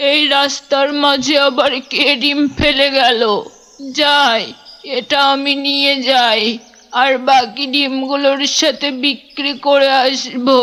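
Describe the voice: In a cartoonish character voice, a woman talks very slowly at a high pitch, her loudness very even and her intonation fairly even.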